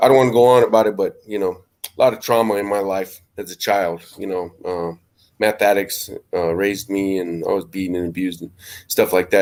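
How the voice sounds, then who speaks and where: Very clean and silent in the background, this clip has a man speaking at a fairly low pitch with fairly even intonation. It is an unremarkable speaking voice. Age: 40s. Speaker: professional boxer. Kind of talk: interview.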